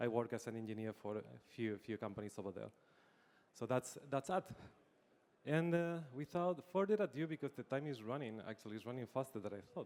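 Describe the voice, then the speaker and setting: With a Spanish accent, a man speaks at a fairly quick pace and medium pitch, his intonation lively. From Spain. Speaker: engineering executive and panel moderator. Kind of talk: panel discussion.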